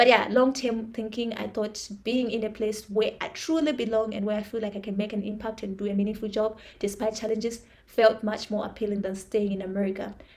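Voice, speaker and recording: A woman with an African accent speaks at a fairly quick pace with hardly any pauses. Her fairly high voice stays monotone and flat. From Zimbabwe. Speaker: vlogger. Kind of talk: personal monologue. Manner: halting.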